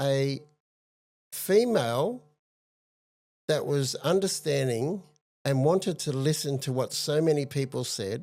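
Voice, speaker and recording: A man with an Australian accent and a fairly high voice, on a very clean recording with a silent background. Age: 60s. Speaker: advocate for institutional abuse survivors. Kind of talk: interview testimony.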